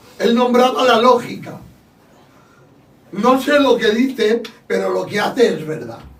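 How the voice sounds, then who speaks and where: A man with an extremely high pitch and ordinary pitch variation, long and frequent pauses, noticeable background noise, and audible room echo. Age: 60s. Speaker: church podcast host. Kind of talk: casual chat. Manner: raising voice.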